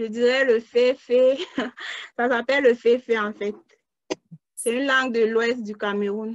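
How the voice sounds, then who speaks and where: Her voice sits fairly high, and she talks at a fairly slow pace with long, frequent pauses. The woman's intonation is monotone and flat. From Cameroon. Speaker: crowd worker, student. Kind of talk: interview.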